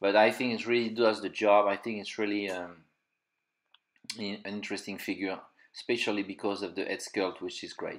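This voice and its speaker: A man with a French accent, fairly low in pitch, fairly quick in pace, monotone and flat, with long, frequent pauses. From France. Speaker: toy collector and reviewer. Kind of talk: unboxing review. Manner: halting, many fillers.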